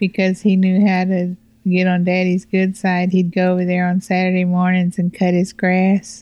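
A woman speaks in a dark, mellow tone with monotone, flat intonation and very even loudness. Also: medium pitch for a woman, moderate pace. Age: 60s. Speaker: host's mother. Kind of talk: interview.

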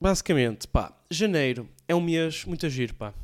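A man's lively intonation against a silent background, very clean recording. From Portugal, Porto area (Alfena). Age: young. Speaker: comedian and podcast host. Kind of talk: casual solo podcast monologue. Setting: home recording with camera and PC. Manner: casual, slangy, halting with fillers.

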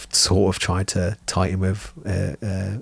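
A man with an English accent speaks in a very deep, low pitch that is somewhat breathy. His intonation is monotone and flat, in a very clean recording with a silent background. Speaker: miniature painting podcast co-host. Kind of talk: casual chat. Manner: jokey.

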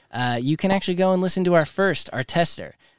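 An unremarkable speaking voice, a man with a fairly high pitch and ordinary pitch variation is heard in a dry, close sound with no echo on a very clean recording with a silent background. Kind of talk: casual chat. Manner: excitable.

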